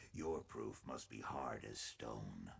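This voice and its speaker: A man speaks. He uses a put-on character voice. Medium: video game. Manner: formal, measured.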